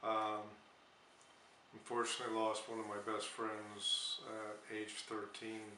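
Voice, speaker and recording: With an American accent, a man speaks at a fairly slow pace and a fairly low pitch, in a monotone, flat intonation, with long, frequent pauses. Audible room echo and noticeable background noise are present. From US Northeast, Bethlehem, Pennsylvania. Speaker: war veteran. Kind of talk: interview. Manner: halting, many fillers.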